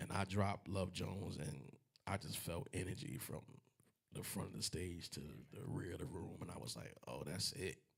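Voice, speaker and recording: A man speaks at a moderate pace in a very deep, low pitch with vocal fry. His pitch swings very widely. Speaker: singer. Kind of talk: casual chat.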